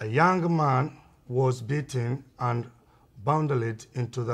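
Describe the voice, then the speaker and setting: Speaking at a very slow pace, a man with a medium pitch and a somewhat breathy voice shows ordinary pitch variation in a very clean recording with a silent background. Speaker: amateur video maker. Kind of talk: amateur documentary narration. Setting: outdoors in a park.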